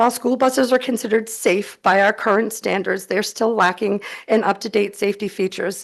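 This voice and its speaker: Against a quiet background, a woman with a shaky, medium-pitched voice speaks at a moderate pace with fairly even intonation. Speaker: advocate testifying at legislative hearing. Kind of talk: public testimony. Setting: legislative committee hearing room. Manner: shaky, emotional.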